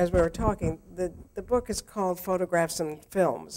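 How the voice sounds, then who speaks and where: A woman's plain, everyday voice at a moderate pace. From Houston, Texas. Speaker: photographer. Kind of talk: conversation with slide presentation. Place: hall. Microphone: too quiet at first; handheld.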